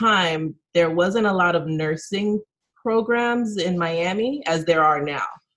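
A woman speaks at medium pitch in an ordinary speaking voice. Her pace is fairly slow and her intonation lively. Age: 30s. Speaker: nurse and PhD student. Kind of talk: casual interview.

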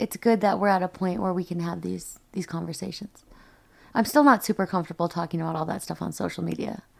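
A woman with an American accent talks at a very fast pace and a fairly low pitch with ordinary pitch variation. The recording is very clean, with a silent background. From US Midwest. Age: 30s. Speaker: ski mountaineer. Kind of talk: podcast interview.

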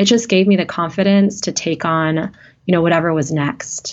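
With an American accent, a woman has an ordinary speaking voice, fairly low in pitch, with ordinary pitch variation. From US Midwest, small town in Wisconsin. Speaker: radiation oncologist. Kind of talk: interview conversation.

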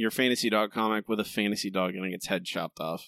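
In a very clean recording with a silent background and a dry, close sound with no echo, a man speaks in a normal speaking voice at a medium pitch and a fairly quick pace. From rural Florida. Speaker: podcast host, writer. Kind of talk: casual chat.

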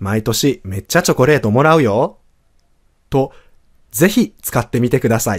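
A man with an unremarkable speaking voice talks at a moderate pace with lively intonation. The recording is very clean and dry, with a close sound, no echo, and a silent background. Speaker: French teacher. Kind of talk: language lesson podcast.

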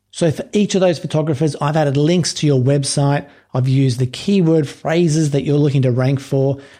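A man with an Australian accent talks at a fairly quick pace with hardly any pauses, his pitch fairly high and his intonation fairly even. His tone is dark and mellow, and somewhat breathy. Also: very even loudness. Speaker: podcast host. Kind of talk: podcast monologue.

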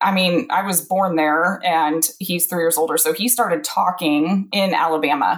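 A woman with a US Midwestern accent speaks in a fairly low pitch with ordinary pitch variation. Her loudness stays very even, and she takes hardly any pauses. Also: moderate pace. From central Illinois. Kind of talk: interview.

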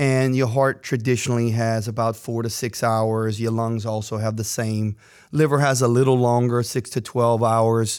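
A man at medium pitch with monotone, flat intonation and a moderate pace, in a very clean recording with a silent background. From Louisiana Acadiana, St. Martinville. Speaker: podcast co-host, organ donation organization staff. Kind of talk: explanatory conversation. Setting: studio.

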